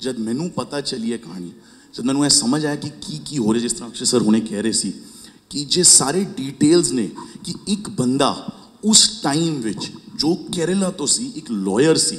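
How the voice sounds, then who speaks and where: Over noticeable background noise and audible room echo, a man's fairly high voice swings very widely in pitch. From Punjab, India. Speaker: film producer. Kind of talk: press conference answers.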